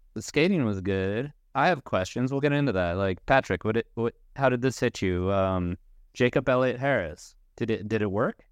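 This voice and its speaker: Lively intonation marks a man's unremarkable speaking voice at medium pitch and moderate pace. The sound is dry and close with no echo, against a quiet background. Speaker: skateboarding writer and podcast co-host. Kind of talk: casual chat.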